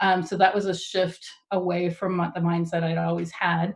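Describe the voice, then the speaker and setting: With a slight Texan accent, the speaker sounds somewhat breathy and keeps a monotone, flat intonation. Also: woman. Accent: Texas accent, slight. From Texas. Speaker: tech speaker. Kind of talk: talk to a user group.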